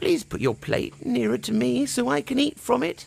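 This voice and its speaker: A man uses a put-on character voice pitched high. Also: moderate pace. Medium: read story.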